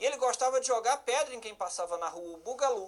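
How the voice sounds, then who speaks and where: A man speaks at an extremely high pitch. His pace is fairly quick. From Brazil, Federal District (Ceilândia). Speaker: law teacher for police exams, judge. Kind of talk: online lecture. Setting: live-streamed class. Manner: animated, conversational.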